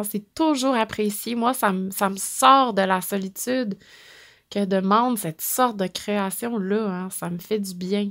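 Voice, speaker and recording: A woman with a Quebec accent and ordinary pitch variation, on a very clean recording with a silent background. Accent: Québécois French. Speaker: podcast host on stones and crystals. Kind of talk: solo monologue, storytelling talk. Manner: warm, intimate; laughs often.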